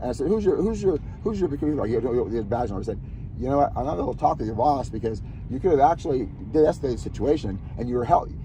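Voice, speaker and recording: With an American accent, a speaker talks at a very fast pace in an animated tone with lively intonation. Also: man, medium pitch for a man. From US South, Alabama. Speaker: vlogger. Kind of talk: casual chat.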